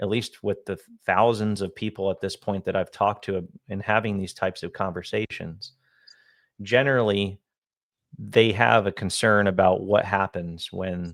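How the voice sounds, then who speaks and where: In a plain, everyday voice, a man speaks at a moderate pace with a fairly low pitch and fairly even intonation on a very clean recording with a silent background. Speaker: annuity and retirement income advisor. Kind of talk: casual co-host discussion on a finance video.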